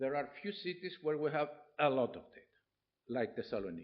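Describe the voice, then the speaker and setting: Vocal fry from a man, along with very wide pitch swings. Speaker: professor. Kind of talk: lecture. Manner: halting.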